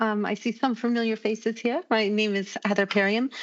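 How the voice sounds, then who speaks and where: A woman with an American accent talks at a moderate pace in a fairly high pitch. It's a plain, everyday voice with ordinary pitch variation. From United States. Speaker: business applications consultant, presenter. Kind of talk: conference presentation.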